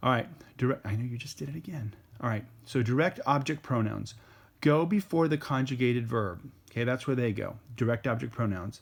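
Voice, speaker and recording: Speaking fairly quickly, a man has a medium pitch and a somewhat breathy voice. The recording is very clean, with a silent background. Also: ordinary pitch variation. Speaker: Spanish teacher. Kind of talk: lecture.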